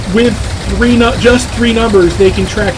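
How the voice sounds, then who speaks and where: Male speech with clear room echo and noticeable noise behind it. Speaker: video game streamer. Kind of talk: live gameplay commentary. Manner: halting with many fillers.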